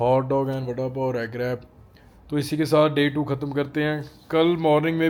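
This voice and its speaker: A man with a Punjabi accent speaks at a moderate pace, his fairly high pitch held in a monotone, flat intonation. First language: Punjabi (speaking Hindi). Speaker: travel and fitness vlogger. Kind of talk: casual vlog talk to camera.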